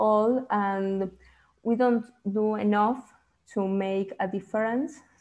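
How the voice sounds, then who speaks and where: Over a quiet background, a woman with an Uruguayan accent speaks very slowly at medium pitch in a dark, mellow tone. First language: Spanish. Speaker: student activist. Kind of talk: open mic sharing in online workshop. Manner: halting.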